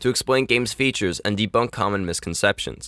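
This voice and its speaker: Talking at a very fast pace, a man has a bright, sharp tone and ordinary pitch variation, in a very clean recording with a silent background and a dry, close sound with no echo. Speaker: gaming video creator. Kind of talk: scripted narration. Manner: reading aloud.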